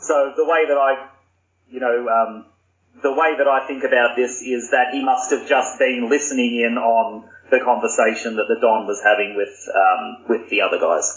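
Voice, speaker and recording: With an Australian accent, a man speaks at a moderate pace and medium pitch, his intonation fairly even. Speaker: podcast guest. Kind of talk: casual chat.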